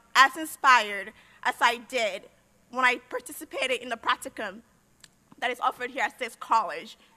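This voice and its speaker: Projecting her voice, a woman speaks at a moderate pace with a high pitch and lively intonation. Her tone is bright and sharp, in a dry, close sound with no echo. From Liberia. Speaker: university graduate, senior speaker. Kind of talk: commencement speech.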